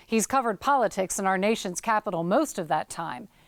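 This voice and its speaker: A woman's plain, everyday voice, fairly high-pitched, with lively intonation at a moderate pace on a very clean recording with a silent background. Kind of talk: documentary narration.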